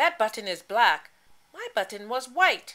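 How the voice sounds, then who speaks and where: A woman puts on a character voice. It is fairly high-pitched and moves at a moderate pace. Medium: read story. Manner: complaining, fussy.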